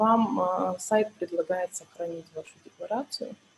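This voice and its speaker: Her intonation is lively. The woman talks at a very slow pace. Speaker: tax accountant, webinar speaker. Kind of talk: webinar tutorial. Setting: online webinar.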